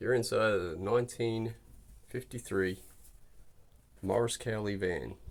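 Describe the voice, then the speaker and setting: A man speaks at a fairly slow pace with a medium pitch. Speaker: car enthusiast vlogger. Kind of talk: casual video walkthrough. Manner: casual with frequent fillers.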